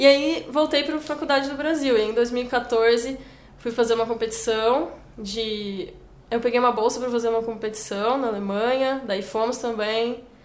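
Amid audible room echo, a woman with a high pitch talks at a moderate pace with ordinary pitch variation. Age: 20s. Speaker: forestry engineer and volunteer traveler. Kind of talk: interview. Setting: office.

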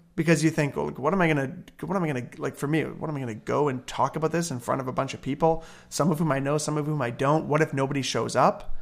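A man with an Ontario accent speaks at a very fast pace, with fairly high pitch and vocal fry. The recording is very clean, with a silent background. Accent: Canadian (Ontario). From Hamilton, Ontario, Canada. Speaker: pastor and church planter. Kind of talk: interview. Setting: at home. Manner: energetic.

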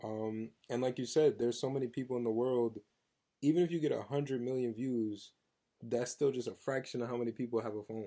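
The voice is dark and mellow in tone, with an American accent. It moves at a fairly quick pace and keeps a fairly even intonation. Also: man, medium pitch for a man. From New Jersey. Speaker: R&B singer. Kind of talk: casual interview.

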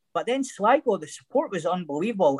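A man with a Scottish accent talks at a fairly quick pace with lively intonation, the sound dry and close with no echo. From Scotland. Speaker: former footballer. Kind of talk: casual chat. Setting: video call.

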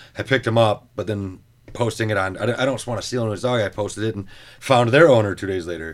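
A man talks at a very fast pace with fairly low pitch. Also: ordinary pitch variation. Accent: American. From Michigan (Metro Detroit). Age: 30s. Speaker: singer-songwriter. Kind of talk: casual chat. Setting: studio.

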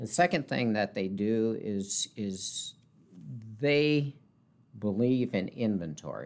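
A man with a medium-pitched voice speaks at a very slow pace, leaving long, frequent pauses. His intonation is lively, and the recording is very clean with a silent background. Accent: Upper Midwest. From South Dakota, rural north central. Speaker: car dealership manager. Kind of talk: interview.

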